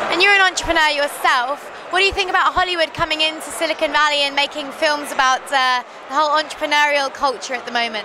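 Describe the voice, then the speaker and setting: Over noticeable background noise, a woman with a high pitch speaks very fast in a raised, projected voice with ordinary pitch variation. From Devon, England. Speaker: tech blogger interviewer. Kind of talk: interview. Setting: industry conference.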